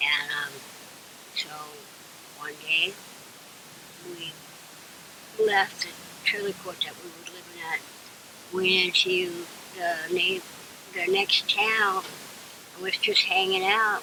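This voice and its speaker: A woman at medium pitch talks very slowly, with long, frequent pauses and fairly even intonation. Her loudness swings widely, and background noise is noticeable. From California. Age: 60s. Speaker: homeless woman. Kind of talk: interview testimony.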